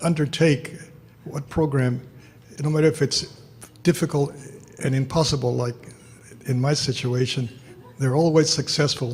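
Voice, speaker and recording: A man with an American accent speaks at a fairly high pitch, somewhat breathy, with ordinary pitch variation. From Houston, Texas. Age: 80s+. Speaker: social worker. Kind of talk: award acceptance speech. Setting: luncheon hall with audience. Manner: halting.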